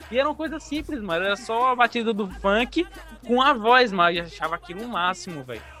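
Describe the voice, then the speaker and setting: Against noticeable background noise, a man speaks very fast at a high pitch, with very wide pitch swings. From Brazil, Bahia (Paulo Afonso). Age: 20s. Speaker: DJ and music producer. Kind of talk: interview.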